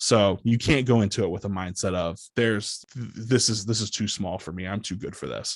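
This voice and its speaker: Speaking at a moderate pace with hardly any pauses, a man uses an ordinary speaking voice, fairly low in pitch with ordinary pitch variation, against a quiet background. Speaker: public address announcer for a basketball team. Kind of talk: podcast interview answer. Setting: office with a podcast microphone setup.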